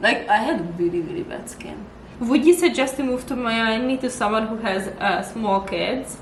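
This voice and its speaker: A woman's animated, fairly high voice with lively intonation, big swings in loudness and a moderate pace, plus noticeable background noise and audible room echo. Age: 30s. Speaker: vlogger. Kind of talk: casual chat.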